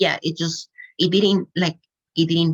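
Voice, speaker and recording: With a non-native accent, a woman speaks in a very deep, low pitch. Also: dry, close sound with no echo. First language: not English. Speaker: podcast guest sharing spiritual awakening story. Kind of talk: casual interview conversation. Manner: hesitant, many fillers.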